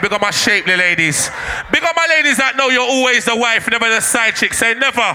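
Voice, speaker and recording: A man speaks in a raised, projected voice with a Jamaican accent, his pitch extremely high and his intonation lively, at a fairly quick pace and very even loudness over noticeable background noise. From Jamaica (Manchester parish). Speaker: dancehall MC. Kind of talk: live MC hype over music. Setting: live event with crowd, PA system. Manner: animated.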